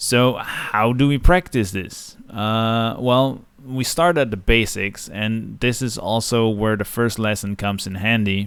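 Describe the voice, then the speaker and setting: A man's medium-pitched voice at a fairly slow pace, hardly any pauses, ordinary pitch variation, on a very clean recording with a silent background. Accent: Dutch. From Netherlands. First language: Dutch. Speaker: digital art teacher. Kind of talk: tutorial. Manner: casual with frequent filler uhs.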